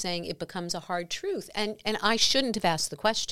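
A woman with an American accent talks at a fairly quick pace with ordinary pitch variation. Her tone is bright and sharp. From New York. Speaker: podcast host. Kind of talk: interview. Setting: studio.

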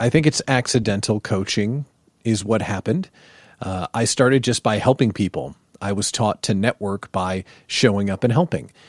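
A man's fairly low voice at a moderate pace with ordinary pitch variation, dry and close with no echo, on a very clean recording with a silent background. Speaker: business coach, former radio host. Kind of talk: interview, casual chat.

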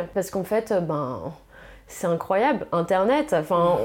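A woman talks at a fairly slow pace with a medium pitch. Her tone is dark and mellow. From northern France. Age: 30s. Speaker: fashion stylist. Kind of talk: casual interview. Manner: hesitant, many fillers.

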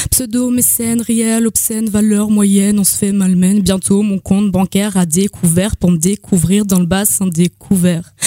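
Somewhat breathy with a dark, mellow tone, a woman speaks at medium pitch and a moderate pace with fairly even intonation, in a dry, close recording with no echo. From Lorraine, eastern France (Nancy area). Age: 20s. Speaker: slam poet. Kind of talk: spoken-word poetry performance. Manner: soft-spoken.

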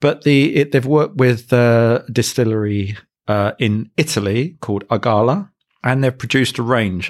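A very clean recording with a silent background of a man with an unremarkable speaking voice, medium pitch, ordinary pitch variation and a fairly slow pace. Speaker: cocktail podcast host. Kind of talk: casual chat, podcast review.

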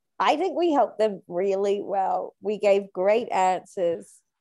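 In an Australian accent, a woman speaks at a fairly slow pace with a dark, mellow tone, medium pitch and ordinary pitch variation. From Australia, New South Wales. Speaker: comedic actress. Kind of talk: improvised comedy chat.

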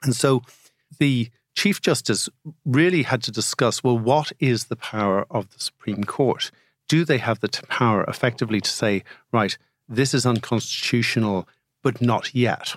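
This man speaks in an Irish accent at medium pitch, with ordinary pitch variation and a moderate pace. The recording is very clean, with a silent background and a dry, close sound with no echo. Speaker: podcast co-host, barrister. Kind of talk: legal discussion.

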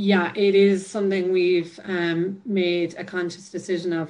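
A woman speaks with a Cork accent. Her intonation is monotone and flat. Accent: Cork Irish. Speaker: Gaelic footballer. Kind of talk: interview.

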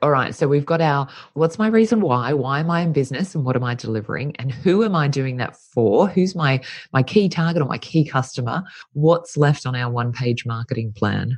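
Using lively intonation, a woman with an Australian accent speaks at a fairly quick pace in a very deep, low pitch. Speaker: podcast host. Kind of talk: interview intro and conversation.

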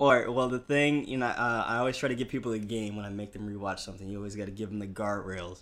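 With fairly even intonation, a man talks at a very fast pace on a very clean recording with a silent background. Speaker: podcast co-host, entertainment writer. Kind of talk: casual chat.

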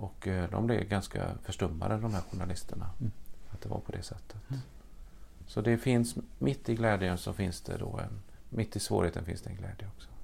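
With vocal fry, a man speaks at a fairly low pitch and moderate pace, with ordinary pitch variation. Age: 60s. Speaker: priest. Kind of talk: casual chat.

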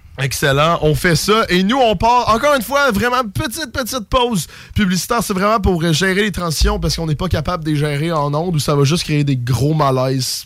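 A man's high voice with very wide pitch swings, moving at a fairly quick pace with hardly any pauses, over music in the background. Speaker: radio host. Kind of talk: casual chat. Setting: radio studio.

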